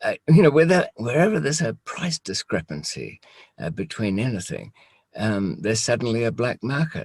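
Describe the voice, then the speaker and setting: The man's speech has vocal fry and very wide pitch swings, delivered at a moderate pace. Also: medium pitch for a man. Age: 60s. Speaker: former smuggler, channel host. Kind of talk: casual interview chat. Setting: Skype call. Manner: halting, many fillers.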